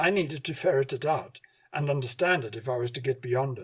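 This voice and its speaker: A man with a plain, everyday voice at medium pitch speaks at a fairly quick pace. The recording is very clean, with a silent background. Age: 60s. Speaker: radio host and hypnotherapy lecturer. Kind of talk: scripted narration.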